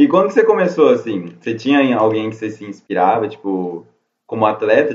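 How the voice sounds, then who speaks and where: Speaking at a fairly quick pace, a man has an unremarkable speaking voice with medium pitch. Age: 20s. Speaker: podcast host. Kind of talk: casual chat. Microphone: phone recording.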